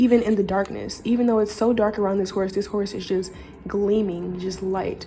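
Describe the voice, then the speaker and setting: Her voice dark, mellow and somewhat breathy, a woman speaks at a medium pitch and a fairly quick pace with fairly even intonation, audible room echo around her. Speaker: tarot reader. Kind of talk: intuitive card reading to camera. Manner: fast; slurred words.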